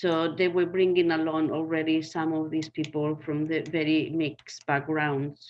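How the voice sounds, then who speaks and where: In a Spanish accent, a woman speaks at a moderate pace with hardly any pauses, her very deep, low voice monotone and flat. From Spain. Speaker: community garden worker. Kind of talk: panel discussion.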